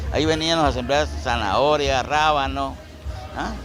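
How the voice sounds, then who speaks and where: A man with a Guatemalan accent at a moderate pace, amid crowd noise and audible room echo. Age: 60s. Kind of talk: oral history interview.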